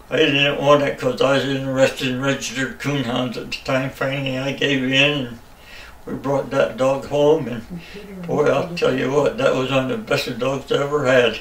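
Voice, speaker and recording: With an American accent, a man of fairly high pitch speaks at a moderate pace and with fairly even intonation against noticeable background noise. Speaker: hunter. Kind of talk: interview answer.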